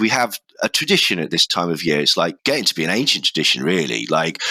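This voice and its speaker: Speaking at a fairly quick pace in a British accent, a man has a bright, sharp tone, recorded dry and close with no echo, very clean over a silent background. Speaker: podcast host. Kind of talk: casual chat.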